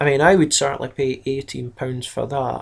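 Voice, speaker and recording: This is a man with a Scottish accent. His pitch sits in the medium range for a man. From Scotland. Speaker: miniatures hobby YouTuber. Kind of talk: casual video review. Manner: casual, hesitant with fillers.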